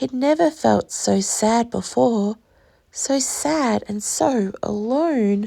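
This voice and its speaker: The voice has a dark, mellow tone and an Australian accent. The pace is very slow. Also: woman, fairly high pitch for a woman, ordinary pitch variation. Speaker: teacher. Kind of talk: reading aloud.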